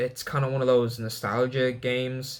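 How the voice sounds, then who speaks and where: A man's voice is heard at a medium pitch. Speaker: gaming youtuber. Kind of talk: casual commentary video. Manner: fast; filler-heavy, casual.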